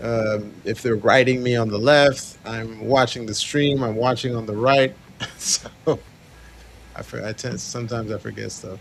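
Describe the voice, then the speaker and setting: Over noticeable background noise, a man of medium pitch speaks with fairly even intonation and big swings in loudness. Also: moderate pace. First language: not English. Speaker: futures trading stream co-host. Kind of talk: live trading stream chat.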